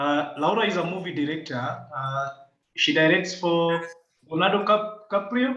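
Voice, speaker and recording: A man speaks loudly in a high pitch, his tone bright and sharp with ordinary pitch variation. Audible room echo surrounds the recording. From Kenya. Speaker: climate and environmental rights activist. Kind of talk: video call interview. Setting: video call. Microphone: echoey room.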